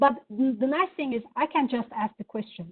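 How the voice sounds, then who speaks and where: Over background music, the speaker talks at a moderate pace with lively intonation in a Turkish accent. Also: woman. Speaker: software product presenter. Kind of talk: product demo. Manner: hesitant, many fillers.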